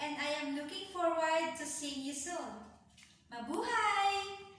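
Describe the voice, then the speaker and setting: Audible room echo surrounds a woman speaking at a very slow pace in a high pitch with ordinary pitch variation. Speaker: online English teacher. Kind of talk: self-introduction video.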